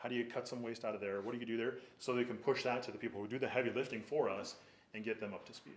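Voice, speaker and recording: The speech races at a very fast pace in a monotone with flat intonation. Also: man, medium pitch for a man. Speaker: business owner applying for a permit. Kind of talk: public hearing presentation.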